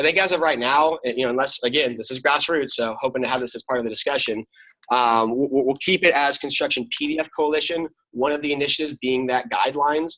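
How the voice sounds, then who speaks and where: A man at a very fast pace with a bright, sharp tone. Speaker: chair of an industry coalition. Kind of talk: meeting presentation.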